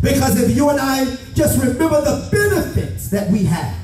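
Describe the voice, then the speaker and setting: A man speaks at a fairly slow pace over music in the background. The room echo is audible. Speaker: pastor. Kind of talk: sermon. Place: church.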